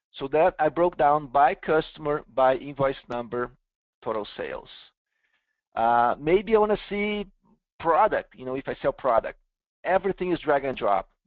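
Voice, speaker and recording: Speech with a Brazilian accent moves at a moderate pace in lively intonation, broken by long, frequent pauses. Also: man, fairly high pitch for a man. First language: Portuguese. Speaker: software company founder and CEO presenting. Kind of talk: webinar product demo. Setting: online webinar.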